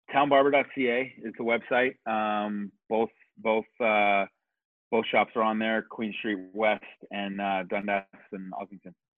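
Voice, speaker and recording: A man with a Canadian accent and a normal speaking voice talks at a fairly slow pace and fairly low pitch, his intonation fairly even. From Kitchener, Ontario, Canada. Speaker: barber and barbershop owner. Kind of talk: casual interview chat.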